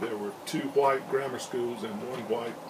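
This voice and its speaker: A man with an Alabama accent speaks at a fairly slow pace with ordinary pitch variation. Audible room echo and noticeable background noise surround his voice. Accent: Southern US (Alabama). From US South, Alabama (small town east of Montgomery). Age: 60s. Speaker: interviewee recalling segregation era. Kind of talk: interview testimony. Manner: halting, many fillers.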